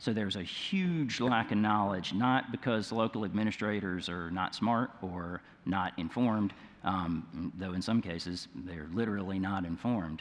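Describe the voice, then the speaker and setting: Speaking in a Mississippi accent, a man uses a fairly low pitch with ordinary pitch variation. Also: moderate pace. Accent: Mississippi Southern. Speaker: nonprofit leader, panelist. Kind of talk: conference panel discussion.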